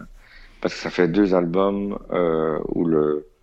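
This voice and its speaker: Speaking with fairly even intonation, a man uses a very deep, low pitch. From Belgium. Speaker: DJ and music industry insider. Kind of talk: casual storytelling chat.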